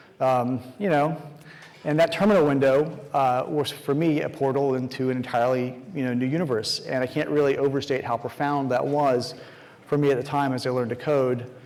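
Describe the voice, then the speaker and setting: A man's fairly high voice at a fairly quick pace, with fairly even intonation, audible room echo and noticeable background noise. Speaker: conference speaker. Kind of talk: conference talk. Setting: stage with audience. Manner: fast.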